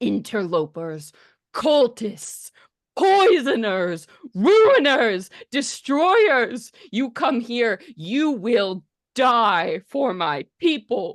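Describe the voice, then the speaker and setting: A put-on character voice sits fairly high in pitch with very wide pitch swings. It moves at a very slow pace over a quiet background. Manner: hostile, menacing.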